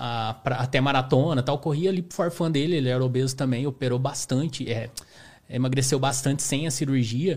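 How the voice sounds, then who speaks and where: The delivery comes somewhat breathy. It is a man, keeping a moderate pace. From Brazil, southern Minas Gerais. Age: 30s. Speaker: amateur ultramarathon runner. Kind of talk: podcast interview. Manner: casual.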